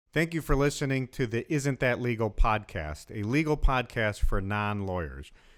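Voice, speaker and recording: An ordinary speaking voice from a man, medium-pitched with lively intonation, at a moderate pace with hardly any pauses, on a very clean recording with a silent background. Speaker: lawyer, podcast host. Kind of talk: podcast intro.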